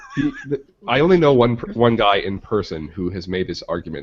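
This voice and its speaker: Talking very fast, a man with a Midwestern accent uses lively intonation. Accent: Midwest. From Michigan. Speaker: podcast co-host. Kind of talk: casual chat.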